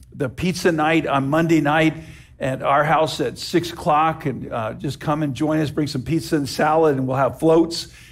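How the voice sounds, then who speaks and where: At a moderate pace, a man talks with monotone, flat intonation. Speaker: pastor. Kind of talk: church announcements before sermon. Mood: warm, lightly humorous. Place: church.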